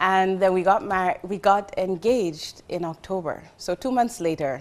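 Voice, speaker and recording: A woman with a Jamaican accent speaks at a moderate pace, using ordinary pitch variation. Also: medium pitch for a woman. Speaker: marketing executive. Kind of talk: casual interview chat.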